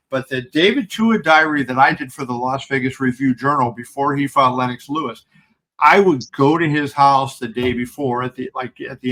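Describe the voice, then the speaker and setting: A man with an American accent speaks at a moderate pace, his medium-pitched voice bright and sharp in tone, with ordinary pitch variation. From Pittsburgh, Pennsylvania, US. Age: 60s. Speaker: combat sports journalist. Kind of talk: podcast interview. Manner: halting, many fillers.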